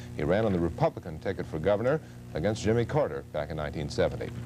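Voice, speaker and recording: With music playing in the background, a man races along at a very fast pace, his pitch swinging very widely. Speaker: television news anchor. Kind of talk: television news anchor read. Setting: 1970s broadcast recording.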